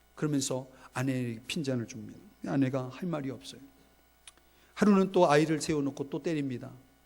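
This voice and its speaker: A man at a moderate pace with lively intonation. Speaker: pastor. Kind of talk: sermon. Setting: church. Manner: loud; animated storytelling.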